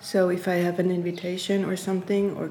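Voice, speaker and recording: A German accent comes through in a monotone, flat delivery at a moderate pace. Room echo is audible. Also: woman. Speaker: artist and researcher. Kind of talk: interview conversation. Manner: halting, with frequent repetitions.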